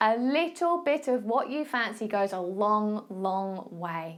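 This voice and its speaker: Speaking with an Essex accent, a woman has a fairly high pitch with very wide pitch swings. Her pace is very slow. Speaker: fitness and nutrition coach, podcast host. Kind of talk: casual advice talk. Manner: casual, chatty.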